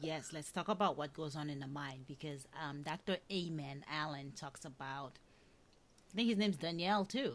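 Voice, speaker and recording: On a very clean recording with a silent background, a woman with a Haitian accent speaks at a very deep, low pitch and a moderate pace, with ordinary pitch variation. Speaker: podcast host. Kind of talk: interview conversation. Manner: halting, many fillers.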